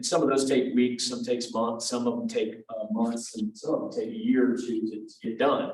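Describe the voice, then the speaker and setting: With a Louisiana accent, a man speaks at a moderate pace and medium pitch with fairly even intonation, and audible room echo surrounds him. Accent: Louisiana Southern US. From Louisiana, Lake Charles. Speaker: tech company representative presenting. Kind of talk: presentation at professional meeting. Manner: casual, many fillers.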